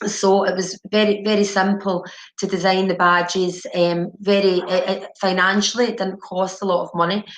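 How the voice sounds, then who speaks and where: Against noticeable background noise, a woman talks at medium pitch in a monotone, flat intonation. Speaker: addiction treatment manager. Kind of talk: webinar presentation. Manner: deliberately slow; halting, many repetitions and fillers.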